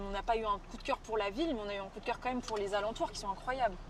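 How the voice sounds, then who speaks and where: In an animated tone, a woman speaks very fast in a fairly high voice with ordinary pitch variation. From France. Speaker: travel streamer. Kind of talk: casual chat on live stream.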